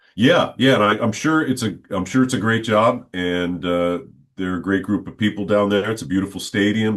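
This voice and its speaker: Fairly low in pitch, the man has an unremarkable speaking voice. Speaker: stadium public address announcer. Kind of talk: interview answer, casual conversational.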